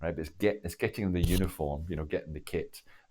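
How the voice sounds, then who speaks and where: This man has a Glaswegian accent and a very deep, low pitch. His fairly even intonation comes with vocal fry. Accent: Glaswegian Scottish. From Scotland, Glasgow (Cardonald). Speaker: former army officer and diplomat. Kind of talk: interview storytelling. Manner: halting, many false starts.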